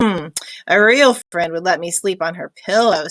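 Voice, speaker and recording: A woman puts on a character voice at a medium pitch. Her pace is moderate. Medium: read story.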